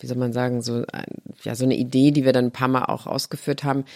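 The woman's voice sits at a very deep, low pitch. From Saarland, Germany. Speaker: journalist and interviewer. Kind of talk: casual interview conversation.

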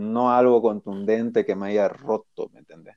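There is no echo, only a dry, close sound, as a man talks fairly slowly. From Bolivia. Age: 30s. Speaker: skateboarder. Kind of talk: interview.

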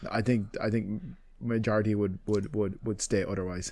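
In an Irish accent, a man with a fairly low voice and a dark, mellow tone speaks at a fairly quick pace with fairly even intonation. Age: 30s. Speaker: illustrator and podcast co-host. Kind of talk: casual chat.

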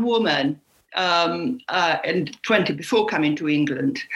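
A woman speaks in an Italian accent at a fairly slow pace. Her pitch swings very widely. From Puglia, southern Italy. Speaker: cookbook author. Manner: halting, repeats words.

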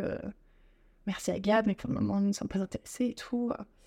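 At a fairly quick pace, this woman speaks in a dark, mellow tone. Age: 20s. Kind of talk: interview.

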